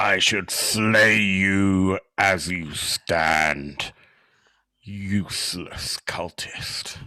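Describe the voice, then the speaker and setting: A man uses a booming, put-on character voice. The recording is very clean with a silent background. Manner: scolding, threatening.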